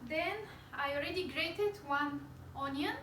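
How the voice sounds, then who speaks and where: With a Bulgarian accent and ordinary pitch variation, a high-pitched woman speaks amid audible room echo. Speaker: cooking channel host. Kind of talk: cooking tutorial. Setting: home kitchen.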